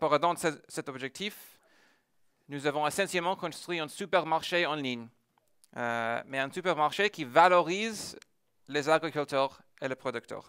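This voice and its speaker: A man with an American accent, fairly high pitch and a bright, sharp tone, at a fairly slow pace with long, frequent pauses and ordinary pitch variation, in a dry, close sound with no echo and a very clean recording with a silent background. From United States. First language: English (speaking French). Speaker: tech entrepreneur. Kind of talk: conference talk. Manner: hesitant, many filler sounds.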